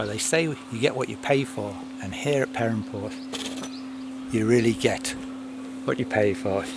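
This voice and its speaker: The quiet voice moves at a moderate pace amid noticeable background noise. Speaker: microlight pilot. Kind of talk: casual vlog talk.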